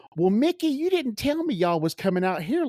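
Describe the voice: A shrill, put-on character voice, fairly high in pitch, with very wide pitch swings and a fairly quick pace.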